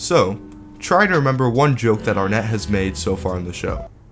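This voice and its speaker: A man talks with lively intonation. Behind him, music is playing. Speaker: YouTube commentator. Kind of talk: video essay commentary.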